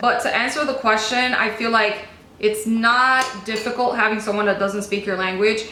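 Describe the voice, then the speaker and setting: With a Spanish accent, a woman speaks at a fairly high pitch and with fairly even intonation, over noticeable background noise and audible room echo. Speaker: beauty vlogger. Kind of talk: casual chat. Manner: chatty, casual.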